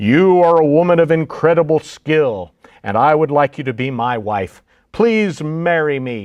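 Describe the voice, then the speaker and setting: A man's put-on character voice, fairly high-pitched, at a moderate pace with lively intonation. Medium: read story. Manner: commanding.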